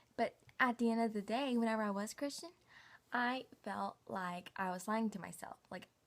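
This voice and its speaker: This woman has a Southern US accent and a fairly high pitch. Her pace is moderate. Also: ordinary pitch variation. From US South, Knoxville, Tennessee. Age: 20s. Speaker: vlogger. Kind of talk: casual personal vlog. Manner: casual, filler-heavy.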